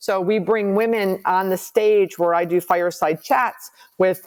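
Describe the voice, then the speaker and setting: A woman with a plain, everyday voice speaks at a fairly low pitch with ordinary pitch variation. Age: 60s. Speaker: commercial real estate investor and advisor. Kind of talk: podcast interview.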